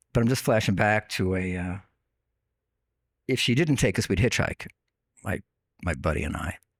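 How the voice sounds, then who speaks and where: With a slight Long Island accent, the speaker uses lively intonation and long, frequent pauses in a dry, close recording with no echo. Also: man, fairly low pitch for a man, moderate pace. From US Northeast, Long Island, New York. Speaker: online radio host, podcast guest. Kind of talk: casual interview, storytelling. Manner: conversational with fillers.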